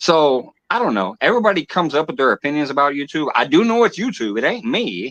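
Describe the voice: His intonation has big pitch swings. The man's fairly high pitch moves at a fairly quick pace. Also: fairly bright tone.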